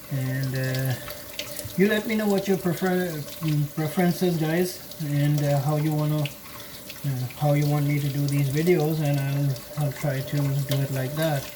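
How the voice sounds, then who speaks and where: A woman's very deep, low voice with fairly even intonation and long, frequent pauses, plus audible room echo and noticeable background noise. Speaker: scale model hobbyist. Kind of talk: tutorial. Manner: slow; halting.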